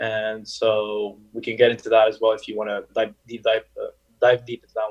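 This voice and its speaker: A man with a Montreal accent talks at a moderate pace. His loudness swings a lot. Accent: Montreal anglophone Canadian English. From Montreal, Quebec (moved from Paris at seven). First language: French. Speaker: business consultant. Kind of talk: interview. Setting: video call.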